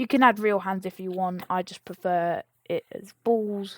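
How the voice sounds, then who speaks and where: A woman's medium-pitched voice with fairly even intonation, dry and close with no echo, on a very clean recording against a silent background. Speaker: game modding tutorial creator. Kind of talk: screen-recorded tutorial. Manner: casual, self-correcting.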